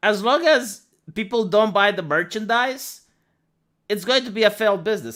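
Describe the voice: The voice moves at a moderate pace with a fairly bright tone. It's a very clean recording with a silent background.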